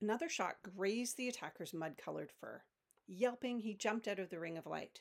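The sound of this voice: The background stays quiet. Over it comes an unforced reading voice.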